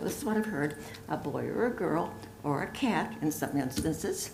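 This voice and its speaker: A woman speaks at a moderate pace with very wide pitch swings, over noticeable background noise and audible room echo. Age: 80s+. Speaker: public commenter. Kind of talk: public comment. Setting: boardroom.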